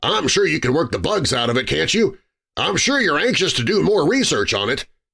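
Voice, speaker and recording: A man's put-on character voice, high-pitched and fairly quick, with very wide pitch swings. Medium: read story. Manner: eager, scheming.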